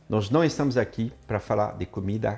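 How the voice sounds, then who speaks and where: With lively intonation, a man speaks in a somewhat breathy voice at a fairly slow pace. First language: French (speaking Portuguese). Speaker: chef and cooking teacher. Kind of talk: online class presentation.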